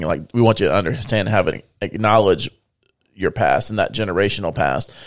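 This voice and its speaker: A man speaks in an ordinary speaking voice with a fairly low pitch at a fairly quick pace. His intonation is fairly even, and the recording is very clean with a silent background. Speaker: podcast co-host. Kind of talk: casual faith discussion.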